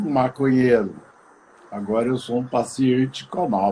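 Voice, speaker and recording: Ordinary pitch variation carries the voice through noticeable background noise. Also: man. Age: 70s. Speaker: retired actor and cannabis activist. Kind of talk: casual chat.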